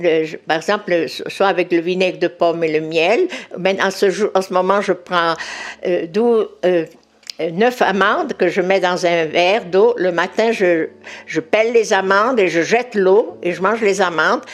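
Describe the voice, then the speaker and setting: Against noticeable background noise, a woman speaks fairly slowly at medium pitch with ordinary pitch variation. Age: 80s+. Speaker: natural remedies expert. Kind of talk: interview. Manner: halting, repeats words.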